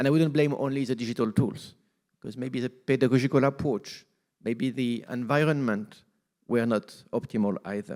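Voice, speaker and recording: Speaking at a moderate pace, a man with a French accent keeps a medium pitch and fairly even intonation. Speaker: UN agency representative. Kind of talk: formal speech.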